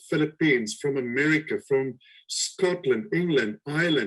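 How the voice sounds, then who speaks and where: A man with a slight South African accent talks at a fairly high pitch. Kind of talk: webinar interview. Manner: halting.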